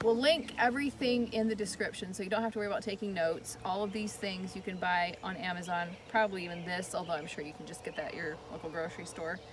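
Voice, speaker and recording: Talking at a very fast pace with hardly any pauses, a woman with a medium pitch and ordinary pitch variation is heard over noticeable background noise and audible room echo. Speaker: flower farmer. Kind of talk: tutorial. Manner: casual, with fillers.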